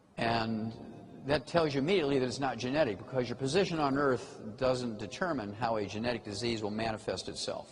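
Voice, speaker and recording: A man speaks at a fairly quick pace in a medium pitch, with audible echo from the room. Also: ordinary pitch variation. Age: 70s. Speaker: health lecturer. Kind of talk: lecture.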